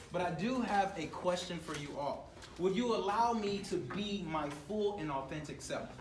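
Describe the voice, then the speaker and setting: Lively intonation in an American accent comes through audible room echo and noticeable background noise. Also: man. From US South, Atlanta. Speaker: motivational speaker. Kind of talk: motivational talk. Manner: fast; loud.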